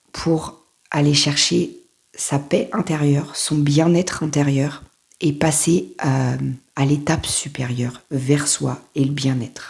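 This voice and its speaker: Very slow and marked by vocal fry, a woman's very deep, low voice shows ordinary pitch variation. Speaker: life coach. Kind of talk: motivational talk to camera. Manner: casual, halting.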